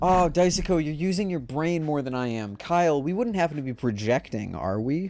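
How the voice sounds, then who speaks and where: Recorded very cleanly against a silent background, a man speaks with lively intonation at a fairly quick pace. He leaves hardly any pauses. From United States. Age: young. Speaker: streamer. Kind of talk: casual chat. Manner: animated; loud, projecting into mic.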